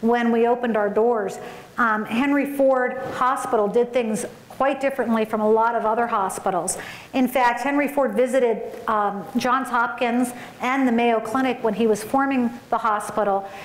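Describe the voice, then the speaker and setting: With audible room echo, a woman speaks at a moderate pace in a high voice with fairly even intonation. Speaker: conference keynote speaker. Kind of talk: keynote speech. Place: hall. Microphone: podium.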